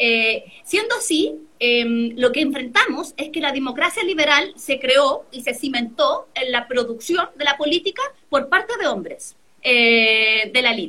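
Raising and projecting her voice, a woman speaks in a bright, sharp, high tone with very wide pitch swings. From Chile, San Felipe (Aconcagua valley). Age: 30s. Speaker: constitutional lawyer. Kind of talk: interview.

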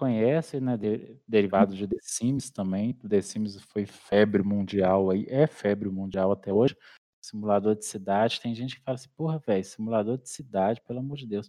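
Against a quiet background, a man with an unremarkable speaking voice talks at a moderate pace in a fairly low pitch, his loudness swinging widely. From Brazil, interior of Minas Gerais. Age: 30s. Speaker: YouTuber, city-builder gamer. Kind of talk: casual interview.

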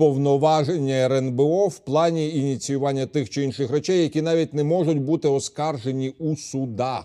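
A man with a Ukrainian accent speaks at a fairly high pitch with fairly even intonation. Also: moderate pace, hardly any pauses. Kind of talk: TV interview. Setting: TV studio.

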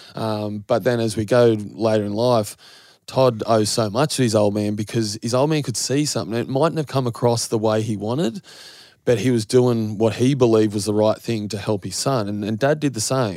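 This man has a dark, mellow tone at medium pitch, with an Australian accent. He moves at a moderate pace with ordinary pitch variation, in a very clean recording with a silent background. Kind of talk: casual interview.

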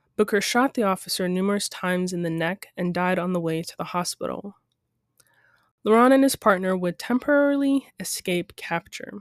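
An ordinary speaking voice with lively intonation moves at a moderate pace over a dry, close sound with no echo and a very clean, silent background. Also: woman, medium pitch for a woman. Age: 20s. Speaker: true crime podcast host. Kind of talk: scripted narration.

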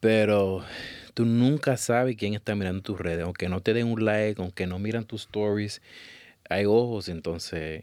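A man uses an ordinary speaking voice at a fairly low pitch and moderate pace, with ordinary pitch variation, in a very clean recording with a silent background. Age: 30s. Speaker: photographer. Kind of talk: interview.

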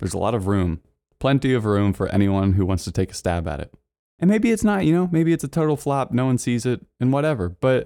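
In a very clean recording with a silent background, a man speaks with a dark, mellow tone. His pitch is medium and his intonation lively. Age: 20s. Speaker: podcast host and video production business owner. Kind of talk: solo monologue podcast.

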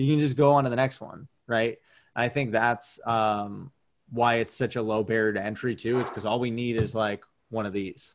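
In a normal speaking voice, a man with an American accent talks at a moderate pace and a medium pitch, his intonation fairly even. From Maine, US. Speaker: former pro baseball player and media producer. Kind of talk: interview.

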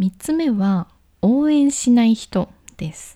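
The tone is dark, mellow and relaxed, and somewhat breathy. The recording is very clean with a silent background. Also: woman. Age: 20s. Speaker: solo podcast host. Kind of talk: casual solo radio talk. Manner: relaxed, conversational with fillers.

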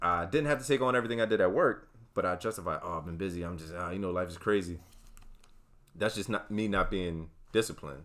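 The speech comes at a very fast pace, with ordinary pitch variation and big swings in loudness. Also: man, very deep, low pitch for a man. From South Jersey (Wildwood, Cape May County). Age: 30s. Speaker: university staff working with students. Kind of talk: casual interview.

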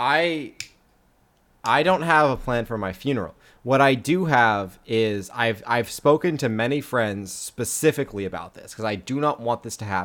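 A man speaks at a medium pitch and a moderate pace, with big swings in loudness and an ordinary speaking voice. The recording is very clean, with a silent background. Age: 20s. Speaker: podcast co-host. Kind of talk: casual chat.

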